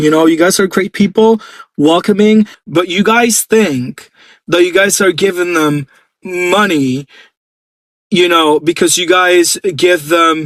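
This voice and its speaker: On a very clean recording with a silent background and a dry, close sound with no echo, a man with a Puerto Rican accent talks at a fairly slow pace in a high voice with ordinary pitch variation. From Puerto Rico. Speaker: pageant commentator YouTuber. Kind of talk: opinion rant to camera. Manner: animated.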